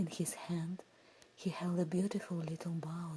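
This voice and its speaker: Whispering very slowly, a woman sounds soft-spoken and somewhat breathy. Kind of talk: ASMR fairy tale sleep story. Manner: soft, whispered.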